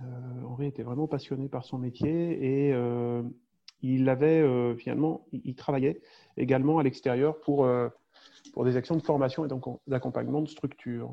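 The speaker keeps a moderate pace and fairly even intonation, broken by long, frequent pauses. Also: man, medium pitch for a man. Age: 40s. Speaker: safety consultant and small-town mayor. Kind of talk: interview. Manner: halting, many repetitions and hesitations.

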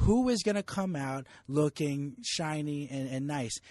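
A man with a New Jersey accent, fairly high pitch, a dark, mellow tone and lively intonation, in a dry, close sound with no echo and a quiet background. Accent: New Jersey American. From US Northeast, New Jersey. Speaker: sports journalist. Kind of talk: casual chat.

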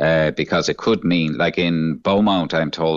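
With a Cork accent, a man speaks at a very deep, low pitch and a fairly slow pace with ordinary pitch variation. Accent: Cork Irish. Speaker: son of nursing home resident. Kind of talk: radio interview. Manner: worried, halting.

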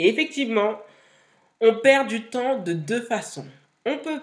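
A woman's fairly high voice at a very slow pace, with very wide pitch swings. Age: 30s. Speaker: podcast host, content creator and entrepreneur. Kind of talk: solo podcast monologue.

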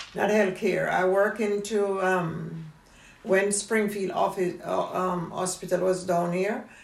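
Noticeable background noise sits behind a woman speaking at a very slow pace. Her intonation is monotone and flat, and her loudness stays very even. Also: medium pitch for a woman. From Jamaica. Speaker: retired dressmaker, family elder. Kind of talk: family interview, life story.

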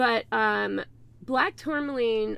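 A woman with a Southern US accent sounds animated while speaking at a fairly slow pace. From US South. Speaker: online crystal seller. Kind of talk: casual interview.

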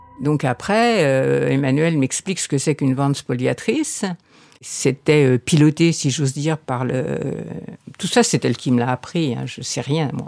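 The delivery is fairly slow with lively intonation. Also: woman, very deep, low pitch for a woman. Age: 70s. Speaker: heir to an art collection. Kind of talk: interview testimony.

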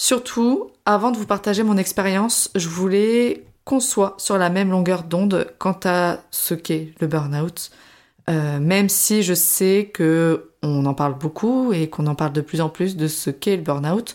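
A woman uses a normal speaking voice at a fairly slow pace, with ordinary pitch variation and very even loudness, in a very clean recording with a silent background. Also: medium pitch for a woman. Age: 20s. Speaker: podcaster, former primary school teacher. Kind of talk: personal testimony monologue. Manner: casual, chatty.

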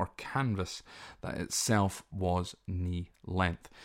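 A speaker with a Scottish accent is heard in a very clean recording with a silent background. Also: man. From Scotland. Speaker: podcast host. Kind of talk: solo podcast monologue, informal educational talk. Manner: informal, hesitant with many fillers.

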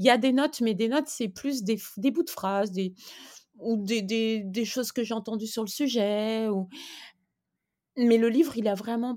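A woman with a dark, mellow tone and fairly high pitch talks at a moderate pace with ordinary pitch variation and long, frequent pauses, in a very clean recording over a silent background. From eastern France, between Lyon and Geneva. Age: 50s. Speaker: children's book author. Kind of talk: interview.

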